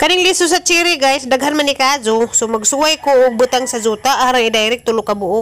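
A woman is speaking. Her pace is fairly quick. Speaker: home vlogger. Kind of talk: casual vlog chat. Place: garden. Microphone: phone near.

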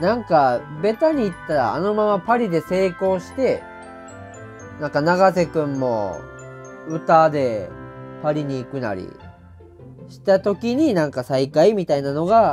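Over background music, a man in a Saga accent speaks at a fairly slow pace with long, frequent pauses. His pitch is fairly high and swings very widely. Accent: Kyushu (Saga) dialect. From Saga Prefecture, Japan. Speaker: comedian. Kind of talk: casual TV drama review talk to camera.

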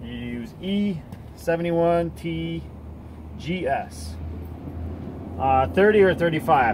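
A man is speaking with long, frequent pauses. Noticeable background noise is present. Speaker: hobby welder reviewing a tool. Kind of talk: product review talk. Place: garage.

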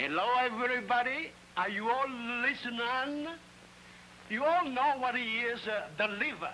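In a raised, projected voice with an extremely high pitch and lively intonation, a man speaks at a moderate pace with long, frequent pauses over light background noise. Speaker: comic film character, radio speaker. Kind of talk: scripted film comedy dialogue. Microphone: old recording.

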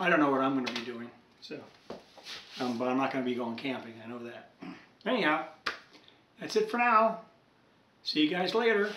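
A man talks at a fairly quick pace, his loudness swinging widely. Audible room echo and light background noise surround him. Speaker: hobbyist radio collector. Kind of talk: casual vlog chat. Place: workshop.

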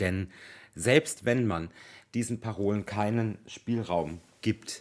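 The speaker's intonation is lively, though the pace is very slow. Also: man. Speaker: gossip YouTuber; commentary vlogger. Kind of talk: opinion monologue to camera. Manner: serious, emphatic. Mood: critical, serious. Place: home room. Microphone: phone near.

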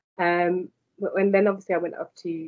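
A woman speaks with a London accent at a moderate pace. The background is quiet. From London, England. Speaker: university lecturer in digital marketing. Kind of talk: interview. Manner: hesitant, many fillers. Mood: warm, encouraging. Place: home room. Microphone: video call.

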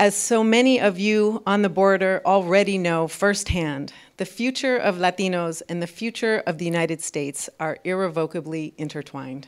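Against a quiet background, a woman talks at a moderate pace with ordinary pitch variation and hardly any pauses. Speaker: program host giving welcome remarks. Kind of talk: prepared welcome speech. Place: hall. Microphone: podium.

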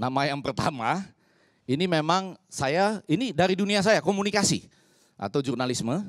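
With vocal fry, a man speaks at a moderate pace against a quiet background. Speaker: communication professor. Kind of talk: talk show panel discussion. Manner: formal. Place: studio. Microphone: handheld.

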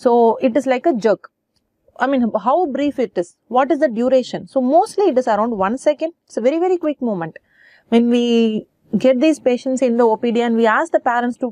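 Lively intonation and a dark, mellow tone come through at a fairly quick pace. The background is quiet, and the sound is dry with no echo. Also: woman, high pitch for a woman. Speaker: medical lecturer. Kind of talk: lecture.

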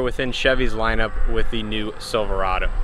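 Light background noise sits behind a man speaking. He talks at a moderate pace, and the sound is dry with no echo. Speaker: car reviewer. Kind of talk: walkaround tour commentary. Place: open country. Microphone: phone near.

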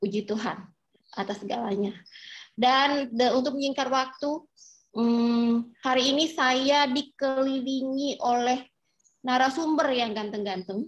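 A woman speaks at a fairly slow pace. Her pitch is high, and the background is quiet. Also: ordinary pitch variation. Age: 40s. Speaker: dermatologist and moderator; moderator. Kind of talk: webinar moderation. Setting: video call. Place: home room. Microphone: video call.

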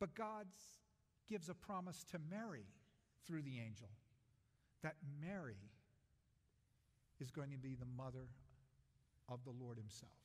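At a moderate pace, a man speaks somewhat breathily with long, frequent pauses. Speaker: pastor. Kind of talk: sermon. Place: church.

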